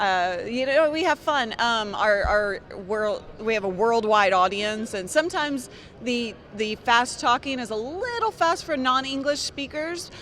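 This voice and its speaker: Over noticeable background noise, a woman speaks in a high pitch with lively intonation and an energetic tone. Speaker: tech show host. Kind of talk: casual chat.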